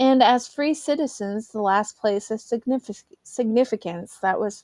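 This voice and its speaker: In an American accent, a woman talks at a fairly high pitch with ordinary pitch variation. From US Midwest, St. Louis, Missouri. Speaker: podcast host. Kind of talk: reading aloud history with asides. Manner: halting, frequent self-corrections; casual, chatty asides.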